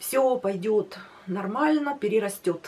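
A woman talks with very wide pitch swings. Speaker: weight loss vlogger. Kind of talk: casual vlog chat. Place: home room.

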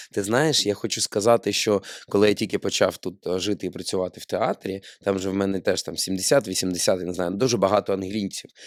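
A man's plain, everyday voice, fairly low in pitch, at a fairly quick pace with fairly even intonation, dry and close with no echo, on a very clean recording with a silent background. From Ukraine, Odesa. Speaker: podcast host, actor. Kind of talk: casual chat. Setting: studio.

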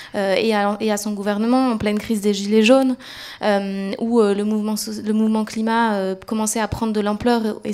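A woman's fairly high voice at a moderate pace. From northern France, Roubaix; France. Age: 20s. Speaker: climate activist, NGO campaigner; panelist. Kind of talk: panel discussion. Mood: calm, earnest. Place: hall. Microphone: handheld.

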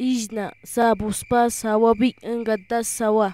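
A woman's fairly high-pitched voice with a dark, mellow tone, a monotone, flat intonation and a very slow pace. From Colombia, Awá people. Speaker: voice-over narrator, translator. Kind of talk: educational vocabulary reading in Awá.

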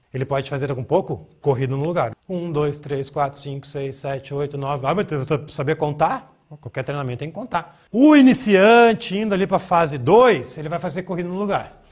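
A man with a somewhat breathy voice speaks at a moderate pace. His intonation is lively, and the background is quiet. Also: hardly any pauses. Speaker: fitness coach. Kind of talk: coaching tutorial, demonstrating a workout while counting reps aloud. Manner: casual, direct, slangy. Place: gym. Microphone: lapel.

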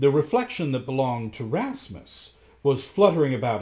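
The reading voice sounds natural. Its intonation is lively.

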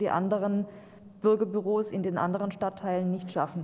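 A woman is speaking. Her pace is moderate. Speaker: local councillor. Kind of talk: council speech. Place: meeting room. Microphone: podium.

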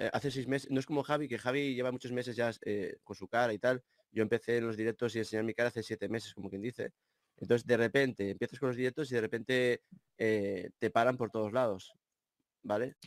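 The speech moves at a very fast pace. Intonation stays fairly even throughout. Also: man, medium pitch for a man, dry, close sound with no echo. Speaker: YouTuber. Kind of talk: livestream conversation.

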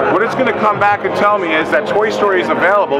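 With clear music in the background, a man speaks at a fairly quick pace. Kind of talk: product demonstration. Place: hall.

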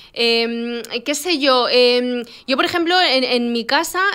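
With a quiet background, a woman speaks at a very slow pace in a high pitch, with lively intonation and a bright, sharp tone. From Spain, Moroccan family (born in Morocco, moved as a baby). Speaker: podcast co-host. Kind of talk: casual chat. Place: studio. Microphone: studio mic.

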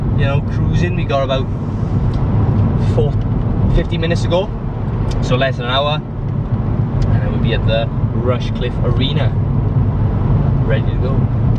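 A man talks at a moderate pace, with long, frequent pauses. The sound is dry with no echo, but loud background noise is present. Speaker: wrestler vlogger. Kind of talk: casual vlog chat. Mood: relaxed, upbeat. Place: car. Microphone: camera far.

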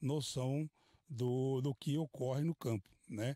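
Medium-pitched male voice, dark and mellow in tone, with ordinary pitch variation, a dry sound with no echo and a quiet background. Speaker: police officer. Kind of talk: news interview. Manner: halting. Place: open country. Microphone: handheld.

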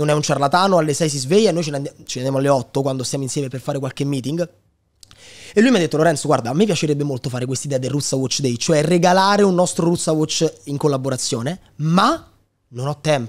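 Against a quiet background, a man talks very fast in a fairly high pitch with ordinary pitch variation. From Italy, Lazio (Sora, Frosinone); Lazio. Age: 20s. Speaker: digital entrepreneur and content creator; content creator. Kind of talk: casual interview chat. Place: studio. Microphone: studio mic.

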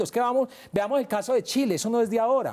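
A man speaks at a very fast pace with a dark, mellow tone. The background is quiet. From Colombia, Medellín (Antioquia); Antioquia, Colombia. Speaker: investigative journalist. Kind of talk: televised debate. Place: studio. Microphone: lapel.

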